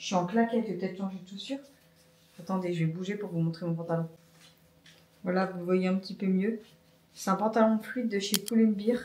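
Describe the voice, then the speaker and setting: Long, frequent pauses break up a woman's speech at a fairly quick pace. Her voice sits at medium pitch with fairly even intonation. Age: 30s. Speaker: vlogger. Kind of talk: casual vlog talk to camera.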